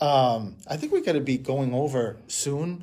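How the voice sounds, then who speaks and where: Audible room echo surrounds a man's fairly high-pitched voice with a dark, mellow tone. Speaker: medium hosting a live stream. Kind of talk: casual live-stream chat. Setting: Facebook Live broadcast. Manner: loud.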